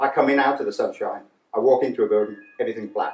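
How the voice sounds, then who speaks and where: This is a man speaking. His pace is very fast. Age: 60s. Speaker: charity chair, deafblind speaker. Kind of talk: conference talk.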